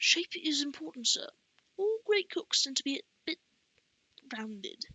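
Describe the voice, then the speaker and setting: Putting on a gruff character voice, a woman speaks at a moderate pace with a high pitch and very wide pitch swings. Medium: read story. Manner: gruff, muttering.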